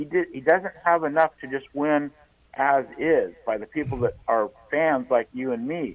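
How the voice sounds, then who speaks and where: A man with a plain, everyday voice talks at a fairly slow pace, his fairly high pitch showing ordinary variation. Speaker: radio caller. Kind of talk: call-in discussion. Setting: phone call.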